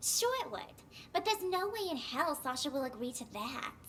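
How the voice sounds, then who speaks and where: Putting on a character voice, a woman speaks high-pitched with very wide pitch swings over clear background noise. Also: moderate pace. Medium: video game. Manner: breezy, sassy.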